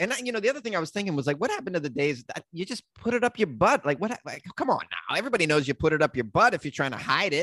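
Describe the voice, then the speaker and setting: With an American accent, a man speaks at a high pitch and a very fast pace, with very wide pitch swings and hardly any pauses, in a dry, close sound with no echo. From Boston, Massachusetts. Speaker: comedian and podcast host. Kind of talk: casual chat.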